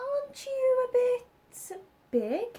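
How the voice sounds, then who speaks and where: Putting on a character voice, a woman speaks in an extremely high, squeaky pitch. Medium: read story. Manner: sharp, knowing.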